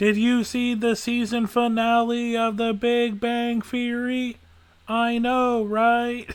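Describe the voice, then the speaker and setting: A man puts on a playful character voice at an extremely high pitch. He speaks at a fairly slow pace with monotone, flat intonation. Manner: spooky, playful.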